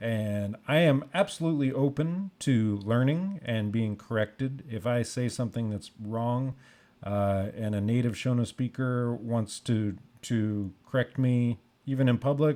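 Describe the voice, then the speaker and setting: On a very clean recording with a silent background, a man with an American accent speaks fairly slowly in a medium pitch, his tone dark and mellow and his pitch variation ordinary. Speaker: music teacher. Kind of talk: tutorial. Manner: unscripted, halting with fillers.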